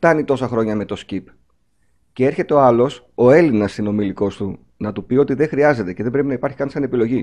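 At a medium pitch and a fairly quick pace, a man uses a plain, everyday voice with ordinary pitch variation. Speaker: podcast host. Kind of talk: interview.

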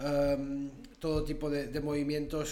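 The man's tone is dark and mellow. Audible room echo surrounds his speech. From Andorra. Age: 30s. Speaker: tile collector and museum founder. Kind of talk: interview. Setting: recording at his museum space. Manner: halting.

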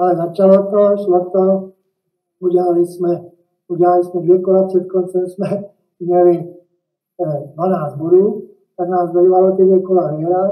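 A man speaks in a high pitch with a dark, mellow tone and monotone, flat intonation. His pace is fairly slow, broken by long, frequent pauses. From Czech Republic, Liberec. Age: 70s. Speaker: retired football coach. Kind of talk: interview. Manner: halting, many fillers.

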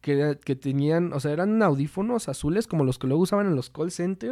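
A dark, mellow tone with a central Mexican accent, a moderate pace and ordinary pitch variation, on a very clean recording with a silent background. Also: man. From Mexico, Toluca. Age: 20s. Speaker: singer in a band, marketing student. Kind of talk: casual chat. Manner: halting, frequent repetitions.

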